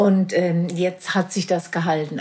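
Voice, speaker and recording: Against noticeable background noise, a woman speaks at a moderate pace in a monotone, flat intonation. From Marburg, Hesse, Germany. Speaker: charity chairwoman. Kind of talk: casual interview.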